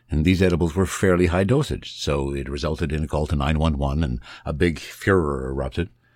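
Talking at a fairly quick pace with hardly any pauses, a man uses a very deep, low pitch and ordinary pitch variation. Vocal fry runs through his voice. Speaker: podcaster and voiceover artist. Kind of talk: casual interview. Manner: polished broadcaster delivery.

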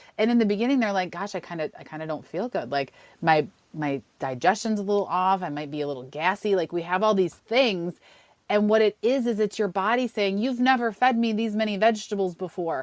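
A woman with an American accent and a normal speaking voice, medium pitch, lively intonation and a fairly quick pace, in a very clean recording with a silent background. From Western New York. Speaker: cookbook author. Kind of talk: interview.

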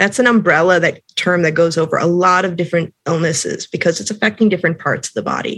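An ordinary speaking voice at a fairly quick pace, with an American accent and ordinary pitch variation. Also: woman. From Upper Peninsula of Michigan. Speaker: cannabis educator. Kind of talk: interview conversation.

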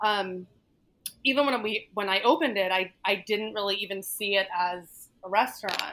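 The tone is bright and sharp. A woman talks at a medium pitch. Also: ordinary pitch variation, moderate pace. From US, Northern Virginia near DC. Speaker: chef, nutritionist and restaurateur. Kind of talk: casual interview. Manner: halting, many fillers.

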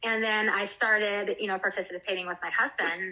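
With an American accent and an ordinary speaking voice, a woman talks at a fairly quick pace with fairly even intonation. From US South, South Carolina. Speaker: cannabis-using mom, community group organizer. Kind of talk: casual interview.

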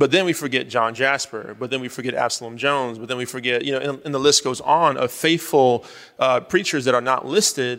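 It is an ordinary speaking voice. The pace is fairly quick, with ordinary pitch variation. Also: man, medium pitch for a man. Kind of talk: panel discussion. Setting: stage with audience.

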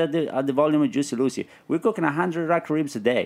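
A man talks at a very fast pace with a fairly high pitch. The recording is very clean, with a silent background. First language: Italian. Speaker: barbecue pitmaster and restaurant owner. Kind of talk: casual chat. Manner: halting, repeats words.

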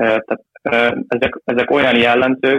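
Speaking fairly slowly, a man holds a medium pitch in a flat monotone. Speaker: youth football goalkeeper coach. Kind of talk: interview. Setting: phone call. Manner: halting. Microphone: phone line.

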